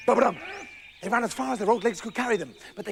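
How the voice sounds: The voice is a natural reading voice. Its intonation stays fairly even.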